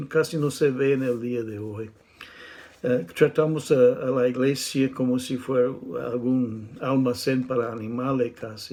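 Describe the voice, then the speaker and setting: There is noticeable background noise. A man talks at a medium pitch with fairly even intonation. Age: 60s. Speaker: preacher. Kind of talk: sermon. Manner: halting.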